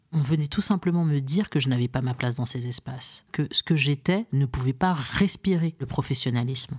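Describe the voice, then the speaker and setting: Somewhat breathy speech with ordinary pitch variation in a very clean recording with a silent background. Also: woman. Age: 30s. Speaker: career coach. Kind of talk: interview. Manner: hesitant with many fillers.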